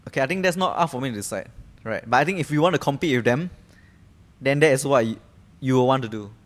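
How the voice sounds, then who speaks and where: A man with a Singaporean accent speaks at a very fast pace in a medium pitch with ordinary variation. He leaves long, frequent pauses. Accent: Singaporean English (Singlish particles). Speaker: podcast co-host. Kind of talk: casual chat.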